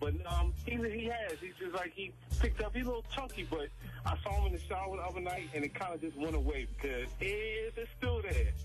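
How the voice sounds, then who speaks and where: A man at a fairly quick pace with hardly any pauses, music in the background. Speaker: radio caller. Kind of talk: casual phone-in call on radio.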